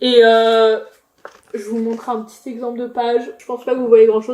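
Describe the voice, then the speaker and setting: Here is a woman speaking. Her pitch is high. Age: 20s. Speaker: booktuber. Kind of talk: casual book review vlog. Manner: hesitant, many fillers.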